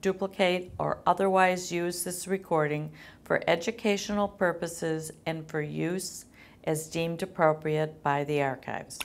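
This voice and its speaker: A woman with a fairly low pitch speaks at a moderate pace with fairly even intonation in a normal speaking voice. The recording is very clean, with a silent background. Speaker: oral history interviewer. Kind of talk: formal recorded consent statement.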